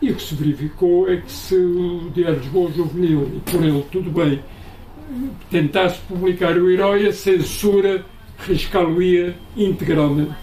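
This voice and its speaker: Over noticeable background noise, a man talks at a fairly slow pace with a high pitch and fairly even intonation. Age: 70s. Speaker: author, retired teacher and school inspector. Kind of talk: book launch interview. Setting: book presentation with audience.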